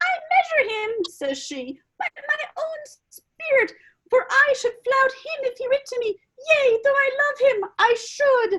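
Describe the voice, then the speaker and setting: A woman puts on a squeaky character voice. Her pitch is extremely high, and she speaks at a fairly slow pace. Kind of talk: Shakespearean stage reading. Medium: stage play.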